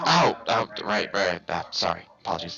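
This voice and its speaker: A man's put-on character voice, fairly low in pitch, with faint music in the background. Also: moderate pace. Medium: actual play.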